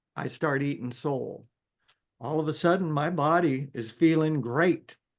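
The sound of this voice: At a fairly slow pace, a man talks at a fairly high pitch with ordinary pitch variation.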